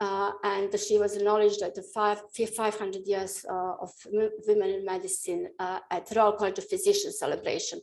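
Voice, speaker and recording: A woman speaks with a Bosnian accent at a fairly quick pace. Her intonation is lively. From Bosnia and Herzegovina. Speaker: professor of nuclear medicine. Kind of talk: lecture. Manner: halting, many fillers.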